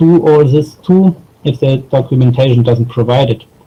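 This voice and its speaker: Somewhat breathy and dark and mellow in tone, a man speaks at medium pitch with fairly even intonation. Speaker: software designer. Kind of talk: conference talk. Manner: halting, many fillers.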